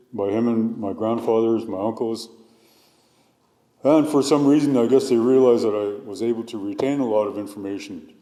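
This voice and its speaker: A man's dark, mellow tone at a fairly quick pace, with fairly even intonation. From northern British Columbia coast, Canada (Tsimshian). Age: 60s. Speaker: hereditary chief and cultural researcher. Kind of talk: testimony. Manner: halting.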